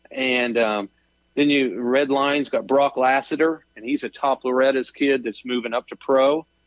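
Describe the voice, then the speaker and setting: An unremarkable speaking voice from a man with an American accent, medium pitch, fairly even intonation, and a moderate pace. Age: 50s. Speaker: arenacross race promoter. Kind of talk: casual interview.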